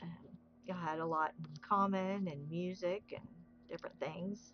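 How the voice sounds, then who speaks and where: With fairly even intonation, a woman talks in a fairly low pitch. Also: moderate pace. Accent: Southern US. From US South. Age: 60s. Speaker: craft livestreamer. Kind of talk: casual chat. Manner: relaxed.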